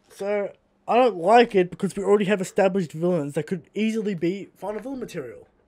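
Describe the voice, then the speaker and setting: High-pitched and dark, mellow in tone, a man talks at a very fast pace. The recording is very clean, with a silent background. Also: ordinary pitch variation. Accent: Australian. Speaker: podcast co-host. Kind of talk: casual chat.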